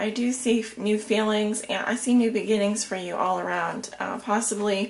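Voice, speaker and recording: A woman speaks quietly at a moderate pace and medium pitch, her intonation fairly even, with noticeable background noise behind her. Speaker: tarot reader. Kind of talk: tarot reading.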